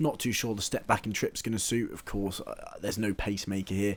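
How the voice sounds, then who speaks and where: A man with an English accent, fairly low in pitch, at a very fast pace with fairly even intonation. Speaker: horse racing tipster. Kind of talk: casual chat.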